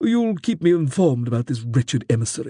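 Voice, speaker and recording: In a put-on character voice, a man rattles along at a very fast pace. His pitch is fairly high. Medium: read story. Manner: aloof, sardonic.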